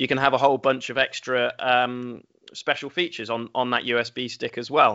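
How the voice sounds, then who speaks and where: At a moderate pace, a man speaks at a medium pitch in an English accent. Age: 30s. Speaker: games company executive. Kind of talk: interview.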